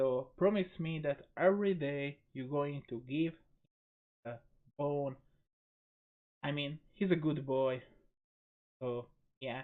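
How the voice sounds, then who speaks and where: Speaking very slowly with a non-native accent, a man uses a fairly high pitch with ordinary variation and long, frequent pauses. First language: not English. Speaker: gaming video creator. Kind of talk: gameplay commentary. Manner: hesitant, with fillers.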